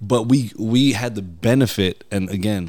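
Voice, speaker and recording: With an American accent, a man speaks using ordinary pitch variation. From New York. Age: 30s. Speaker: guest. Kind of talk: casual chat.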